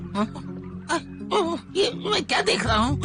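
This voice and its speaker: A put-on character voice speaks at a fairly high pitch and a moderate pace. Clear music plays in the background. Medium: fan dub. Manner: nervous, hesitant.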